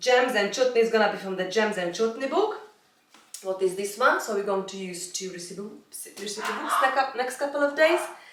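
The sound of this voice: Lively intonation within strong room echo. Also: woman, medium pitch for a woman, moderate pace.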